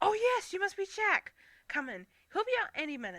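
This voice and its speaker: A woman uses a put-on character voice, squeaky and extremely high in pitch. Her pitch swings very widely as she talks at a fairly quick pace. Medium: read story. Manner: sassy, teasing.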